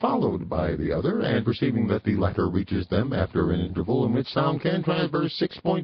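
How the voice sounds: The clip features a natural reading voice. Nothing else is heard.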